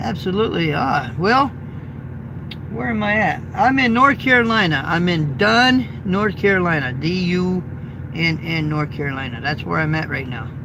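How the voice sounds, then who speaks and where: A man's fairly high voice with very wide pitch swings at a moderate pace, plus audible room echo and noticeable background noise. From Indiana. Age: 50s. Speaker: truck driver and YouTuber. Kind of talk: casual live stream chat. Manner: casual and chatty.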